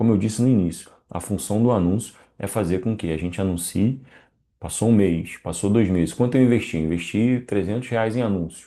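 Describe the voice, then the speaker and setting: The voice moves at a fairly quick pace in a dark, mellow tone with ordinary pitch variation. The background is quiet. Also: man, fairly low pitch for a man. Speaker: online marketing instructor. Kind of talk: live online class. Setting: live stream with chat. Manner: fast.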